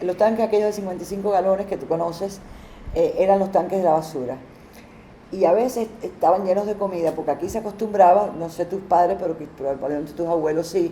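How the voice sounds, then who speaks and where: This woman's voice sits at a medium pitch with ordinary pitch variation. She talks at a very fast pace. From Cuba, Havana. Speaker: interviewee. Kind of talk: testimony. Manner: halting.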